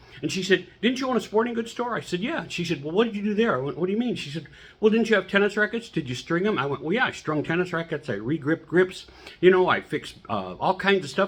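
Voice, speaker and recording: Lively in intonation and animated in tone, a man speaks at a high pitch. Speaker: humorist and motivational speaker. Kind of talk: motivational talk. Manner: fast.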